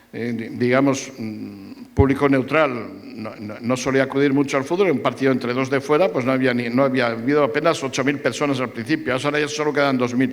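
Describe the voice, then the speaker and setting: Speaking with a Madrid accent at a fairly quick pace, a man of medium pitch keeps his intonation fairly even over noticeable background noise. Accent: central Spanish (Madrid). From Madrid, Spain. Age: 70s. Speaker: sports journalist. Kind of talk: public talk panel with audience. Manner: halting with repetitions.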